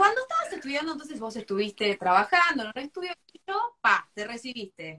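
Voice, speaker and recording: A woman with a high pitch swings very widely up and down, recorded with a dry, close sound and no echo. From Argentina, La Plata. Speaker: architect and interviewer. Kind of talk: live stream interview. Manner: animated.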